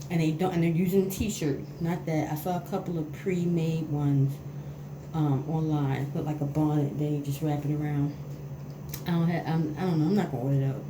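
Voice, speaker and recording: With audible room echo and noticeable background noise, a woman speaks at a fairly quick pace in a very deep, low pitch with fairly even intonation. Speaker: beauty vlogger. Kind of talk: tutorial. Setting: bathroom at home. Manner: casual, hesitant.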